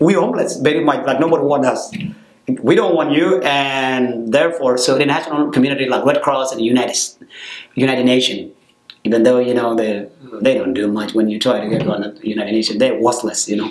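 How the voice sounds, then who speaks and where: At a very fast pace, a man with a medium pitch talks with ordinary pitch variation amid noticeable background noise. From South Sudan. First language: South Sudanese language. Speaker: program director, former refugee. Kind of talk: interview. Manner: halting.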